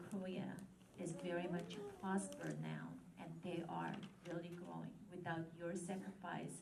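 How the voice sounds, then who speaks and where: There is audible room echo as a woman speaks at a fairly slow pace in a fairly low pitch. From Japan, Korean family. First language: Korean. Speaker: local politician. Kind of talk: ceremony speech.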